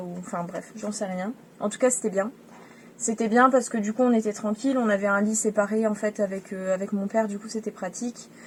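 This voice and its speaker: Her pace is fairly quick. The woman's intonation stays monotone and flat. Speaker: travel vlogger. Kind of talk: casual vlog narration. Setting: outdoors on a beach at night.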